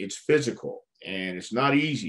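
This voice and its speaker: The speech comes at a fairly slow pace with lively intonation. It carries a Texan accent. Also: man. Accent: Texan American. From Texas (El Paso, then Houston). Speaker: retired pro wrestler and wrestling trainer. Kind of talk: interview. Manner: halting, many fillers.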